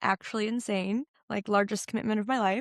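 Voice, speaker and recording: The voice shows ordinary pitch variation and is captured in a very clean recording with a silent background, with a dry, close sound and no echo. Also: woman. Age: 30s. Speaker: podcast host and fitness apparel business owner. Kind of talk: casual solo podcast talk. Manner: fast; filler words like and um.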